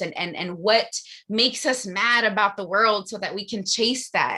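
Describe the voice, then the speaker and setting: A woman speaks in a bright, sharp tone. Her pitch is medium, with ordinary variation. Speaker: motivational coach. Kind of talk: motivational talk. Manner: fast.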